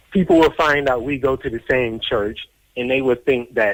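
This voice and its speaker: A man with an American accent speaks in an unremarkable speaking voice at medium pitch, with ordinary pitch variation, a moderate pace and a dry, close sound with no echo. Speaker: deportee telling life story. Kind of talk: interview testimony.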